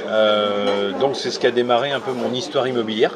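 The voice has ordinary pitch variation, heard through audible room echo and noticeable background noise. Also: man. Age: 30s. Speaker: real estate investor and author. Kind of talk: interview over lunch. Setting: restaurant.

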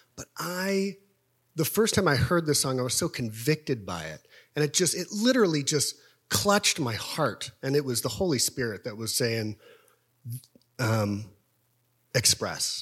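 On a very clean recording with a silent background, a man with an American accent talks at a fairly high pitch and a moderate pace, his pitch swinging very widely between long, frequent pauses. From Topeka, Kansas. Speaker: worship team backup vocalist. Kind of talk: testimony.

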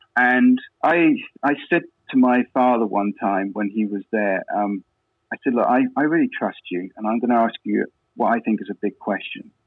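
A man with an English accent, medium pitch and ordinary pitch variation, at a moderate pace. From England. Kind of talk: interview testimony. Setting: phone call.

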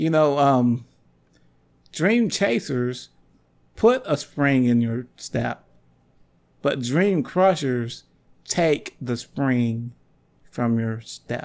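Pausing long and often, a man of medium pitch talks at a very slow pace with lively intonation. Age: 30s. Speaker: podcast host and preacher. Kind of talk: inspirational sermon-style monologue.

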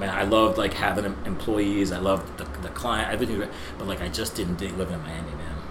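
A man with an American accent speaks at a fairly low pitch and a fairly quick pace. Noticeable background noise runs underneath. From New Jersey. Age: 40s. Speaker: gym owner, former bodybuilder. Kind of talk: casual chat. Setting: studio.

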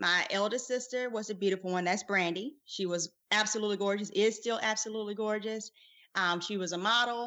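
With a South Carolina accent, a woman talks at a fairly quick pace, her pitch fairly high and her intonation fairly even. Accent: Southern US (South Carolina). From US South, rural South Carolina. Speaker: podcast co-host, physician. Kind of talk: casual chat.

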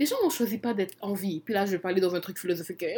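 A woman speaks in an animated tone at a medium pitch, sounding somewhat breathy. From Congo. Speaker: podcast co-host. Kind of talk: casual chat.

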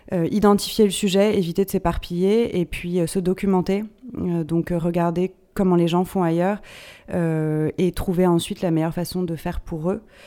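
Fairly low in pitch, a woman speaks at a fairly slow pace with a dark, mellow tone and monotone, flat intonation. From France, Paris. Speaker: HR director and company co-founder. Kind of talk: interview conversation.

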